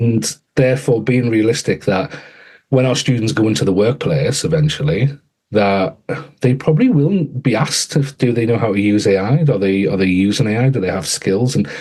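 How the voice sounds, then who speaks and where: A man with a medium-pitched, somewhat breathy voice and an English accent talks with lively intonation and very even loudness. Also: moderate pace. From England. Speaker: author and education AI strategist. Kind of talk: podcast interview. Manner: halting, frequent repetitions.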